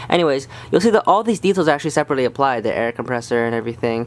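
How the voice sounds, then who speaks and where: A man rattles along at a very fast pace with lively intonation. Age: young. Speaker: model railroad hobbyist. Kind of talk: casual product review to camera. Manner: hesitant, stuttering, many fillers. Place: home room.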